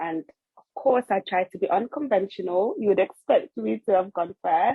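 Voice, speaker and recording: A woman with a slight Nigerian accent speaks with lively intonation. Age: 20s. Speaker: podcast co-host, trainee family psychotherapist. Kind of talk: casual chat.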